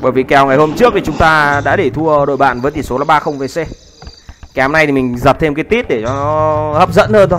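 Noticeable background noise sits behind a man's fairly high voice. He talks at a fairly quick pace with ordinary pitch variation. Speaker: game commentator. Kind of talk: live commentary. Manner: fast.

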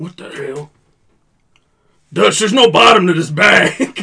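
A man does a put-on character voice at a fairly slow pace. It sits high in pitch with very wide pitch swings. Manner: suspicious, menacing.

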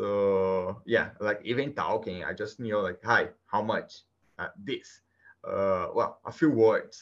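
A man speaks with a Brazilian accent. He talks at a very slow pace. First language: Portuguese. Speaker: guest. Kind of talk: casual interview conversation. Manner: halting, hesitant with fillers.

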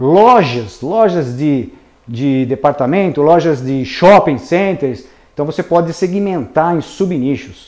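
This man has a fairly high pitch and lively intonation. He speaks at a very slow pace. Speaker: civil engineer and marketing trainer. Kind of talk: webinar lecture. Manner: conversational, filler-heavy.

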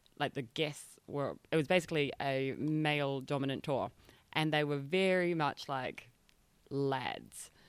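In a New Zealand accent, a woman speaks with a very deep, low pitch and fairly even intonation. Her pace is fairly slow, on a very clean recording with a silent background. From New Zealand, rural North Island. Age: 20s. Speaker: tour company operations manager. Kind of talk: casual interview.

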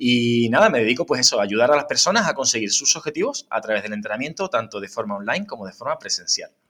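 A man at a very fast pace with hardly any pauses. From Huelva, Andalusia, Spain. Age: 30s. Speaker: fitness trainer. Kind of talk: interview. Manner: frequent tag questions.

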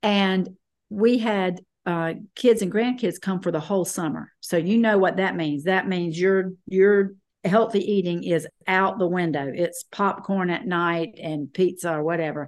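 Speaking with a Southern US accent, the voice moves at a fairly slow pace with ordinary pitch variation. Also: woman, medium pitch for a woman. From US South, North Carolina. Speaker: guest sharing health testimony. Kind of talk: testimony. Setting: video call.

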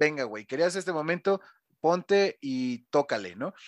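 A plain, everyday voice belongs to a man with fairly high pitch and ordinary pitch variation who talks at a fairly quick pace, the sound dry and close with no echo against a quiet background. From Mexico City. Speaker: DJ and radio host. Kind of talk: casual interview.

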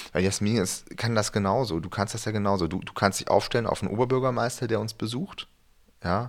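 A man talks very fast with fairly even intonation and a fairly low pitch. The recording is very clean, with a silent background. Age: 40s. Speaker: pastor. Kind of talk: casual chat. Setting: studio.

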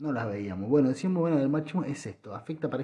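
Somewhat breathy and dark, mellow in tone, a man with a medium pitch speaks with a Rioplatense accent. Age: 30s. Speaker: podcaster. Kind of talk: casual monologue. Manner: halting.

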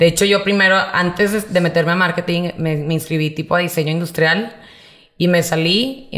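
A woman talks at a fairly quick pace in a fairly low pitch, with ordinary pitch variation. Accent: northern Mexican. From Monterrey, northern Mexico. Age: 30s. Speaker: entrepreneur, party supplies shop owner. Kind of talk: interview conversation.

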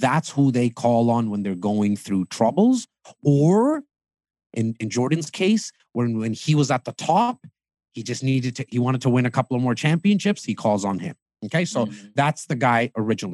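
Animated in tone, a man speaks at a moderate pace and medium pitch with lively intonation, the sound dry and close with no echo. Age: 30s. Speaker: real estate team leader. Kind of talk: podcast interview.

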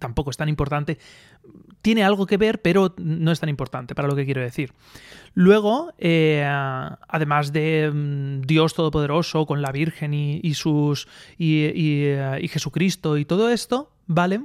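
A man speaks at a fairly slow pace in a fairly high pitch, with ordinary pitch variation. The sound is dry and close with no echo, on a very clean recording with a silent background. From Spain, Alicante province (Aspe). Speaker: podcaster. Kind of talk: solo opinion monologue. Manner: halting, many fillers.

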